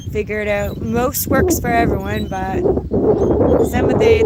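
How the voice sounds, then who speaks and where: A woman talks at a moderate pace while noticeable noise runs behind her. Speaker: YouTuber. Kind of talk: casual livestream chat.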